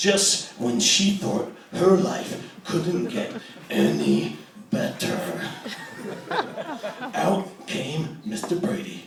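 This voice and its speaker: A man uses a put-on character voice, pitched high and delivered at a very slow pace. Clear background noise and a slight echo are present. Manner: theatrical.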